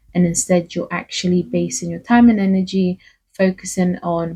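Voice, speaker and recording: The voice is somewhat breathy with a dark, mellow tone and a monotone, flat intonation. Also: woman. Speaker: faith and self-help vlogger. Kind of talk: casual motivational talk.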